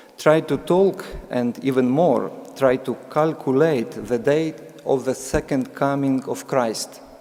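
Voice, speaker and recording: Very slowly, a man with a Ukrainian accent speaks with ordinary pitch variation. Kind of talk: sermon. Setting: church. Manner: reading aloud, halting with fillers.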